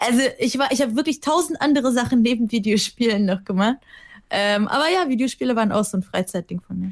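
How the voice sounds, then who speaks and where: In a dry, close sound with no echo, a woman with a fairly high pitch speaks at a very fast pace. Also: lively intonation. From Germany. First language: Russian (speaking German). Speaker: TV presenter. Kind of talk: casual chat. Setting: remote call.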